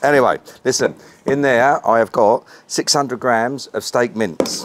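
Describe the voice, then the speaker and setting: With a British accent, a man talks at a medium pitch with ordinary pitch variation and very even loudness over light background noise. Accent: English (UK), informal. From England. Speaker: BBQ cooking channel host. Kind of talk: casual cooking tutorial; casual cooking tutorial chat. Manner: fast. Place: garden.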